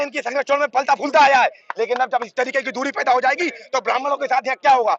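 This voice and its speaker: The man's voice is extremely high in pitch, recorded with a dry, close sound and no echo. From Bareilly area, Uttar Pradesh, India. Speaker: protester. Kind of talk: street interview at a protest. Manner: animated.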